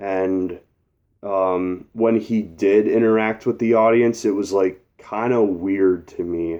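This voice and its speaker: Fairly low in pitch, a man talks at a very slow pace with fairly even intonation. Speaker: concert reviewer. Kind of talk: casual talk to camera.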